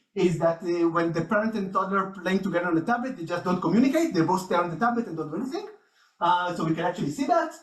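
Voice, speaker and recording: The voice moves at a very fast pace with ordinary pitch variation. Audible room echo surrounds it. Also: man, high pitch for a man. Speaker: researcher. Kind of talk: conference talk.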